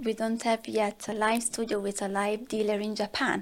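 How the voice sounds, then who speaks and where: Here a woman speaks with an Italian accent at a fairly high pitch. The recording is very clean, with a silent background. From southern Italy. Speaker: marketing director. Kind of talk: podcast interview.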